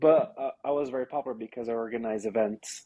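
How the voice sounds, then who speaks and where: A man with a Brazilian Portuguese accent speaks at a fairly quick pace and a medium pitch with fairly even intonation, in a dry, close sound with no echo against a quiet background. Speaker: real estate agent. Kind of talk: interview. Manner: halting.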